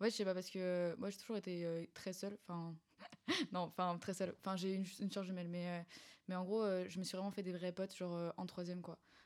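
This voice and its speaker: A woman speaks fairly quickly at a medium pitch. Her intonation is monotone and flat. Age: young (19). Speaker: student. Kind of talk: casual chat.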